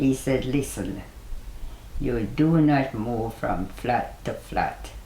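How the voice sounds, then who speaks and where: A woman is speaking. She has a Jamaican accent. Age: 80s+. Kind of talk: interview answer.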